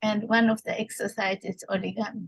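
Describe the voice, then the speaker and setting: A woman speaks at a fairly slow pace in a medium pitch, her voice somewhat breathy and her intonation flat and monotone, with a dry, close sound and no echo. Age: 70s. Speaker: art therapist. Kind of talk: lecture. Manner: halting, many fillers.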